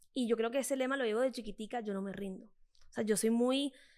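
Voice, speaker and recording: In a Colombian Caribbean accent, a woman talks at a fairly quick pace with a fairly high pitch and ordinary pitch variation. Her tone is animated, and the background is quiet. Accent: Colombian coastal (costeño). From Colombia, Caribbean coast (Cartagena). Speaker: fitness influencer. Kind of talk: interview conversation. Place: studio. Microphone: studio mic.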